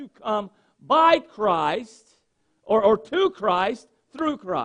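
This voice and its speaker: In a Southern US accent, a man speaks with lively intonation. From North Carolina, US South. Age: 40s. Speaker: pastor. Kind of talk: sermon. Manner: halting.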